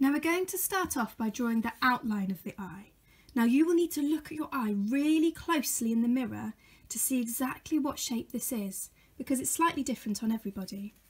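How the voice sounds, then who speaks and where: With a high pitch, a woman speaks at a fairly quick pace. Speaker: teacher for children. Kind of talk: tutorial. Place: home room. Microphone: phone near.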